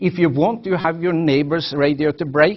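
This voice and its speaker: A man with a Norwegian accent. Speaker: professor. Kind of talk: lecture. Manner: halting.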